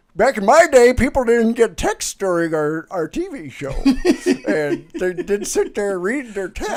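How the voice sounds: A put-on character voice, fairly high in pitch, at a moderate pace with hardly any pauses and very wide pitch swings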